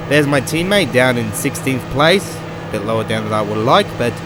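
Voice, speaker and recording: Amid noticeable background noise and audible room echo, a man speaks with an Australian accent. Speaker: gaming commentator. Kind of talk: let's play video game commentary. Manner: casual, hesitant with fillers.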